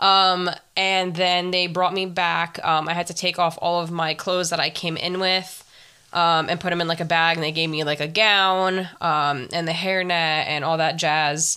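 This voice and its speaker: A woman speaks with a fairly low pitch. Her tone is bright and sharp. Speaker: podcast host. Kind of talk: casual solo podcast monologue. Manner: fast talker; animated, casual, profane.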